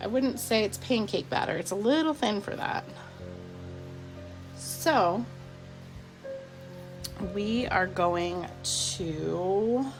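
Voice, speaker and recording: Over music in the background, a woman speaks very slowly in a relaxed tone, her pitch swinging very widely and her speech broken by long, frequent pauses. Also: medium pitch for a woman. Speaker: soap maker. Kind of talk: casual talk to camera. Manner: relaxed, chatty.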